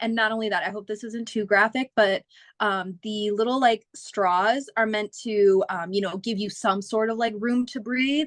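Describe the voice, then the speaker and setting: A woman with a normal speaking voice and a General American accent talks at a moderate pace with fairly high pitch and fairly even intonation, the sound dry and close with no echo. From Phoenix, Arizona, US. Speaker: singer. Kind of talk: casual chat.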